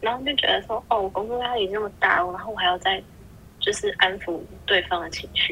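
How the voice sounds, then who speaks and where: A woman talks at a fairly quick pace with a fairly high pitch and ordinary pitch variation. Her loudness swings widely, and there is noticeable background noise. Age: 20s. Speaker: podcast guest. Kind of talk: casual chat.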